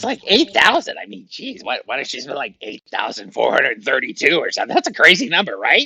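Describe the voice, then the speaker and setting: A man puts on a character voice with a high pitch. He talks at a very fast pace. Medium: actual play. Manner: rambling, hesitant, chatty.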